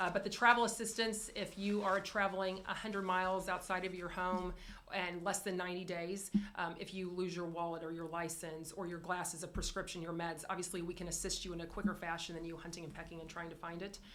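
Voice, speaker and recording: Over audible room echo, a woman speaks at a very fast pace. Her medium-pitched voice stays monotone and flat. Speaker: insurance carrier representative. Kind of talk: business presentation.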